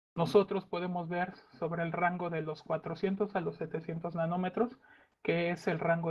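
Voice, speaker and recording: A man's voice, high in pitch. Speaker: remote sensing specialist. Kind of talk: conference talk. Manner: hesitant, many fillers.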